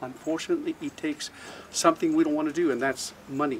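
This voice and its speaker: At a fairly quick pace, a man with an American accent speaks in fairly even intonation over noticeable background noise. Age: 60s. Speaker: conference speaker. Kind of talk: conference speech. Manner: halting, many fillers.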